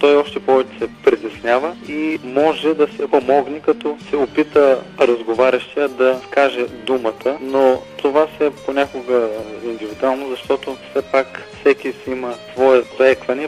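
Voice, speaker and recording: A man at a fairly slow pace with ordinary pitch variation, music in the background. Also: medium pitch for a man. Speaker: representative of a stuttering association, phone interview guest. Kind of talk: radio interview answer over the phone. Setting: phone line.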